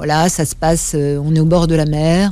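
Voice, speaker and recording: A woman speaks in a very deep, low pitch with a dark, mellow tone. She goes at a fairly slow pace in a dry sound with no echo. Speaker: guest. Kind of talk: interview answer. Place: studio. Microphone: studio mic.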